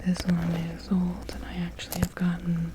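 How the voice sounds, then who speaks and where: A soft-spoken voice whispers at a fairly slow pace. Noticeable background noise runs underneath. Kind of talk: ASMR tapping video. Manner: whispered, soft-spoken.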